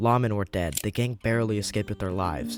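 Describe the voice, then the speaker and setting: Amid noticeable background noise, a man talks at a fairly quick pace with a fairly low pitch and ordinary pitch variation. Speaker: video essay narrator. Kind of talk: documentary narration.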